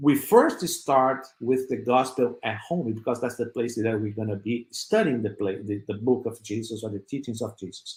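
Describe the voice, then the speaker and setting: A man at a medium pitch talks at a moderate pace with hardly any pauses. His voice is somewhat breathy. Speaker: spiritist speaker. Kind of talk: virtual religious talk. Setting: web radio / online broadcast. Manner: halting, many fillers.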